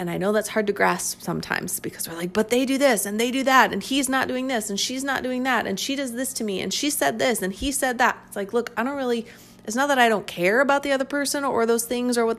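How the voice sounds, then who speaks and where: A woman talks at a fairly quick pace in a fairly high voice with ordinary pitch variation. Music plays behind her. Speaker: relationship coach and podcast host. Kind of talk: solo monologue podcast. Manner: halting, thinking aloud.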